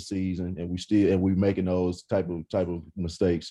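With an East Texas accent, a man speaks in a dark, mellow tone at a very deep, low pitch, monotone and flat, over a quiet background. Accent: East Texas Southern American. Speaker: former college quarterback, football analyst. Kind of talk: casual sports talk interview. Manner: repetitive, halting starts.

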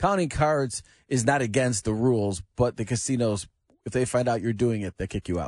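This is a man with a normal speaking voice at a medium pitch and a moderate pace, his intonation lively. The sound is dry and close with no echo, and the background is quiet. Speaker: sports commentator. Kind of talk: casual radio chat.

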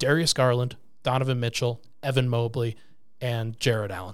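Recorded very cleanly against a silent background, a man has a normal speaking voice at medium pitch. He keeps a moderate pace and fairly even intonation. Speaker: podcast host. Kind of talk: casual sports betting chat. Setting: studio.

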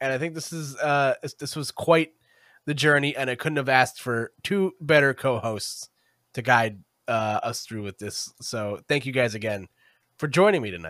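A man of medium pitch speaks at a moderate pace in a bright, sharp tone with lively intonation and big swings in loudness. The recording is very clean, with a silent background and a dry, close sound with no echo. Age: 20s. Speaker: podcast host. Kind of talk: casual chat. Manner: animated.

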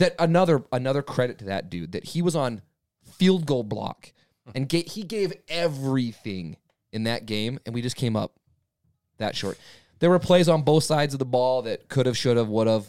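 This is an ordinary speaking voice, a man at medium pitch and moderate pace with lively intonation. The recording is very clean, with a silent background. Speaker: sports fan podcast co-host. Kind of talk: casual chat.

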